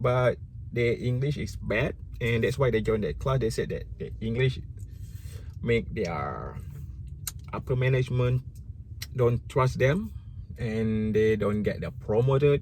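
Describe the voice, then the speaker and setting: Speaking with a Malaysian accent, a man uses a medium pitch with ordinary variation, sounds somewhat breathy, and goes at a fairly slow pace with long, frequent pauses. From Malaysia (Malay). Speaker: YouTuber. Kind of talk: casual vlog commentary. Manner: halting, self-correcting.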